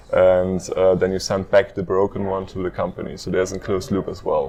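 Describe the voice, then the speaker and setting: Over noticeable background noise, a man with a very deep, low voice speaks at a moderate pace in a monotone, flat intonation. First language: not English; speaks German and French. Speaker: startup co-founder. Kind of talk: interview. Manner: hesitant with fillers.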